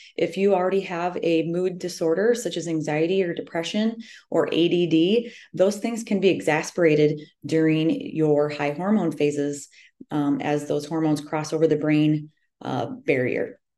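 A woman's dark, mellow voice, fairly low in pitch, at a moderate pace with ordinary pitch variation. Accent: American. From US Midwest, central Iowa. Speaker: personal trainer and running coach. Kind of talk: solo podcast talk on health.

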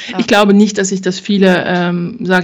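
The speaker is a woman with monotone, flat intonation. She keeps to a moderate pace. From Thuringia, Germany. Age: 40s. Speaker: insurance broker. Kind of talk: interview. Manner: hesitant, many filler sounds.

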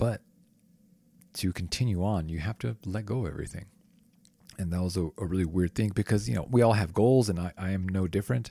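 A man with a very deep, low pitch and a dark, mellow tone speaks at a fairly quick pace with long, frequent pauses, on a very clean recording with a silent background and a dry, close sound with no echo. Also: ordinary pitch variation. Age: 30s. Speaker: yoga podcast host. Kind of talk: casual chat. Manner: halting.

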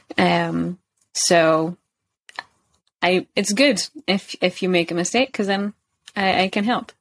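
With a Scottish accent, a woman speaks at a fairly slow pace and medium pitch, with ordinary pitch variation. The sound is dry and close, with no echo. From Scotland, Kirkcaldy (Fife). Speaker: English teacher. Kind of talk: casual interview.

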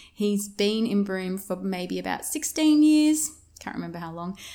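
Speaking with an Australian accent, a woman keeps a fairly slow pace. Her pitch is medium and her intonation lively. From Australia, Victoria (Yarra Valley, outskirts of Melbourne). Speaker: business mindset coach and podcast host. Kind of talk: casual monologue. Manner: animated.

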